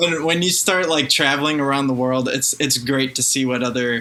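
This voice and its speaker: With noticeable background noise present, a man talks with fairly even intonation. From France then Chicago. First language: French. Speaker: singer. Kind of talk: interview. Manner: halting, repeats words.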